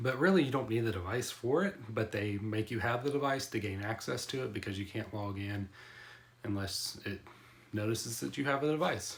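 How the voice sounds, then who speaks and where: In an unremarkable speaking voice, a man talks at medium pitch and a fairly quick pace with ordinary pitch variation. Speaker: tech youtuber. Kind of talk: product review. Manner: casual.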